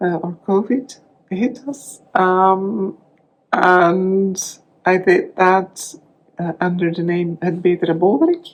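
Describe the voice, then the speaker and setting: A woman speaks at a very slow pace with a Flemish Belgian accent, her medium pitch carried on fairly even intonation. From Belgium (Dutch-speaking). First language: Dutch. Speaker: crafting vlogger. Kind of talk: casual vlog talk. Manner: halting, many fillers and restarts.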